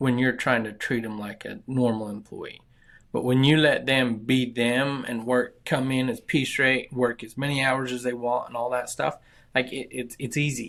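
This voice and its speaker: Medium pitch from a man at a moderate pace with fairly even intonation, in a very clean recording with a silent background. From southern Utah. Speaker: construction company founder. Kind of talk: interview. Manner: halting, repeats words.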